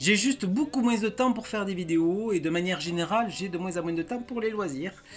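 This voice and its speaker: With music in the background, a man with a high pitch and a southern French accent speaks at a fairly quick pace, with ordinary pitch variation and hardly any pauses. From southern France. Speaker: YouTuber. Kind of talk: farewell video monologue.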